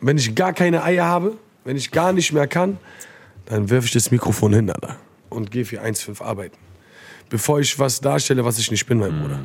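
This man talks at a fairly quick pace with a medium pitch and very wide pitch swings. He leaves long, frequent pauses. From Frankfurt-Sossenheim, Germany. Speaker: rapper. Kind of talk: casual chat. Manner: animated.

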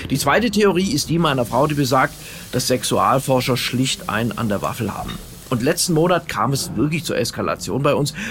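With music in the background, a man speaks at a fairly quick pace in a fairly high pitch and with lively intonation. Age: 50s. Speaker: radio comedian. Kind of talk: comedy monologue. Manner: direct address to listeners.

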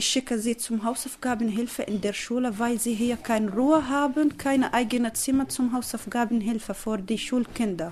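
Fairly even intonation marks speech delivered at a moderate pace. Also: woman, fairly high pitch for a woman. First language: not German (speaking German). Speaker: refugee mother. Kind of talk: interview answers. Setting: at home in living room.

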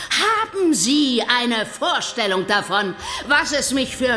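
A woman speaks in a raised, projected voice with a menacing, theatrical tone, her pitch high and her pace very slow. Music plays in the background. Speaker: villain in audio drama. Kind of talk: scripted audio drama, villain monologue. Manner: haughty, menacing, theatrical.

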